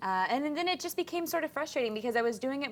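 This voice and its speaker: Very fast and with very wide pitch swings, a woman speaks. She has an American accent. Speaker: fitness and nutrition assistant. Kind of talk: casual chat.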